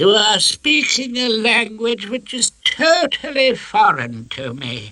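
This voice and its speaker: The speaker uses a put-on character voice with fairly high pitch and a fairly slow pace. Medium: read story. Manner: pompous, slow.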